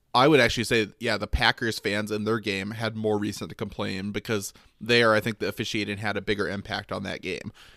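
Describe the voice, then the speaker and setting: A man with an American accent talks very fast with hardly any pauses, his fairly low voice bright and sharp in tone yet monotone and flat. The recording is very clean with a silent background. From Michigan. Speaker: sports podcast co-host. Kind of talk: casual chat.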